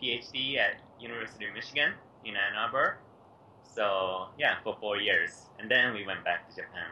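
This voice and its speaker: Light background noise runs under the recording. A man talks at a moderate pace. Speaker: remote interview guest. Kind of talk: interview answer. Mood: cheerful, laughing often. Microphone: video call.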